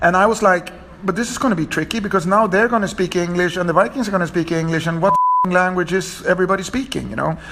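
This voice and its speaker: Speaking very fast with a Scandinavian accent, a man uses a high pitch and ordinary pitch variation over noticeable background noise. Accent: Scandinavian accent, fluent English. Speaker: TV director. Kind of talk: interview. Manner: halting, with repeated words.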